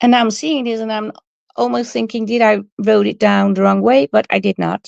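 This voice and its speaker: With a Dutch accent, a woman talks at a moderate pace in a dry, close sound with no echo. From Netherlands. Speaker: crafting YouTuber. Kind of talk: live stream casual chat. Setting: live stream. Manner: hesitant, many fillers.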